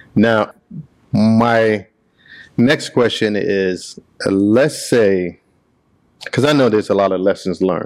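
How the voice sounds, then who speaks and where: With long, frequent pauses and a fairly slow pace, a man speaks at a fairly low pitch, with ordinary pitch variation and very even loudness. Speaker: podcast host. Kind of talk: casual interview chat. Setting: in person at a shop.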